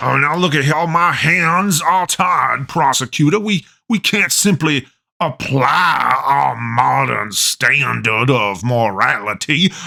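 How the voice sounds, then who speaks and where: A man's cartoonish character voice, fairly slow, with very wide pitch swings. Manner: rambling, stammering, folksy.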